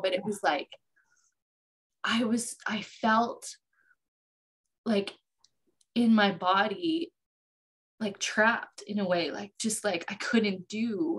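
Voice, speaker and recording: Using a put-on character voice, a woman speaks raspy and very slowly at a medium pitch, with lively intonation and long, frequent pauses. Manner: halting, reflective.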